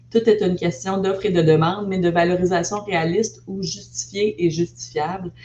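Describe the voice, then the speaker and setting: A woman speaks at a moderate pace with fairly even intonation and a fairly low pitch, with hardly any pauses. Noticeable background noise is present. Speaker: investment network director. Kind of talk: presentation.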